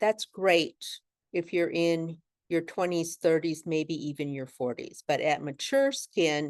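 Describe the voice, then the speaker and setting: The speech comes at a very slow pace, with a dry, close sound and no echo. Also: woman, fairly low pitch for a woman, ordinary pitch variation, quiet background. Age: 60s. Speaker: makeup artist and business owner. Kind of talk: tutorial. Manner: casual, conversational.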